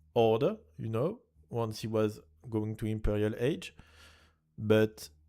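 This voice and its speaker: A man with a French accent has a fairly low pitch and a dark, mellow tone. The recording is very clean, the background silent. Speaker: esports caster. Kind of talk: live commentary. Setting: livestream. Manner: halting.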